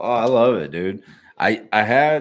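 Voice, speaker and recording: A relaxed tone with a Midwestern US accent and ordinary pitch variation, on a very clean recording with a silent background. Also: man. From Ohio, Cleveland area. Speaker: YouTube reaction streamer. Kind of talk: casual live stream chat. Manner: relaxed, conversational.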